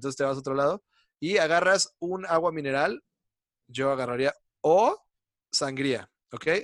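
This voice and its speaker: Heard dry and close with no echo, a man with a fairly high pitch and a Mexican accent talks at a moderate pace. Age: 30s. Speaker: comedy writer. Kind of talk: casual chat. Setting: video call.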